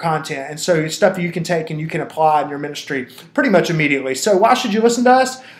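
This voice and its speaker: Over noticeable background noise, a man talks at a very fast pace with a high pitch and lively intonation. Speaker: founder of a church consulting company, webinar presenter. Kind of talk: webinar presentation. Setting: online webinar. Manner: animated.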